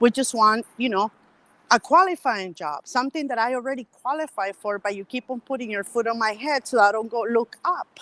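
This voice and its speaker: In a dry, close recording with no echo, a woman with a non-native accent speaks at a fairly high pitch with lively intonation. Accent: foreign accent, milder than some colleagues. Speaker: medical worker. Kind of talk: casual chat. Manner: animated.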